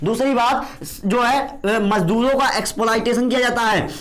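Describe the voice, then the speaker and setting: A man's extremely high-pitched voice at a fairly slow pace, with ordinary pitch variation, audible room echo and noticeable background noise. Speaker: teacher. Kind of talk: lecture. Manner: halting.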